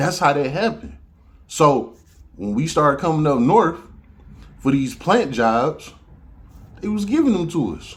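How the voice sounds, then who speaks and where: In an audibly echoing room, a man with an American accent speaks in an animated, fairly high voice, slowly, with very wide pitch swings and long, frequent pauses. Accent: Southern US accent, noted by others. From Detroit, Michigan (US). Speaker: podcast host. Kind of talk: casual monologue.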